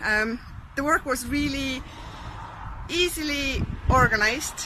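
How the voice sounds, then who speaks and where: A woman's high-pitched, raised and projected voice with an Estonian accent, at a fairly slow pace, over noticeable background noise. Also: ordinary pitch variation. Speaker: vlogger. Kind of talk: casual storytelling to camera. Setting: outdoors.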